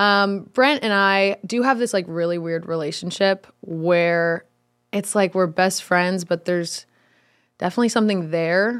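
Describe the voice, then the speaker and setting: At a fairly slow pace, a woman speaks at medium pitch with ordinary pitch variation. The recording is very clean, with a silent background. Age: 20s. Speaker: content creator. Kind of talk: casual chat. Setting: studio.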